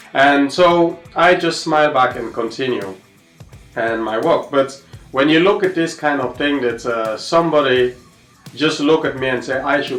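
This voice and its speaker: Over music in the background, a man with an African accent speaks at a moderate pace, his medium pitch showing ordinary pitch variation. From Sierra Leone. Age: 30s. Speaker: tennis coach. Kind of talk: personal testimony. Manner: halting, many fillers.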